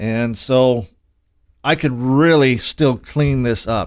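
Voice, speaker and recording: A man at a medium pitch with ordinary pitch variation, fairly slow, on a very clean recording with a silent background. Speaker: home studio owner giving audio tutorials. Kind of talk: tutorial. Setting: home studio. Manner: casual, with fillers; soft-spoken.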